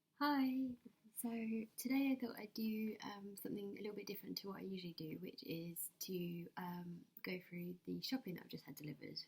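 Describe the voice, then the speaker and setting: A soft-spoken, somewhat breathy woman at a fairly quick pace, medium in pitch, with lively intonation. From England. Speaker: ASMR creator. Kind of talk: ASMR shopping haul talk to camera. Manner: quiet, soft-spoken.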